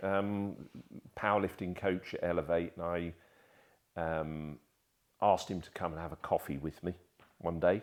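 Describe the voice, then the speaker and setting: In a very clean recording with a silent background, a man with a southern English accent speaks at a moderate pace in a very deep, low pitch, using ordinary pitch variation. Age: 60s. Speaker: martial artist and photographer. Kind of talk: casual interview chat.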